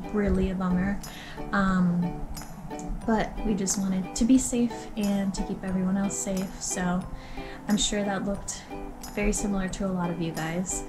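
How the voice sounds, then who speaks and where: The speaker keeps a moderate pace and fairly even intonation, with long, frequent pauses and clear music in the background. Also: woman. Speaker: vlogger. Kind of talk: casual vlog chat. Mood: cheerful, chatty. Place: home room. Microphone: phone near.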